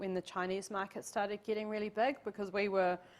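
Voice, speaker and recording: With a New Zealand accent, a woman talks at a medium pitch in a monotone, flat intonation. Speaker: tourism professional and city councillor. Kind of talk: guest lecture to university class. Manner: casual, conversational.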